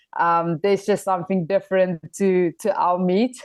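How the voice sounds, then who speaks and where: In a South African accent, a woman speaks fairly slowly with monotone, flat intonation. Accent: Afrikaans South African English. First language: Afrikaans. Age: 20s. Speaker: professional rugby player. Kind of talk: podcast interview.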